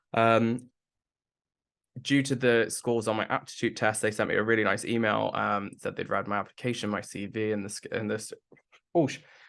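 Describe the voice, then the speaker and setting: With a British accent, a man speaks at a moderate pace and medium pitch. His intonation is monotone and flat, broken by long, frequent pauses. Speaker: person with Tourette's sharing work experience. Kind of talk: interview testimony. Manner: frequent vocal tics, repeated syllables and swearing.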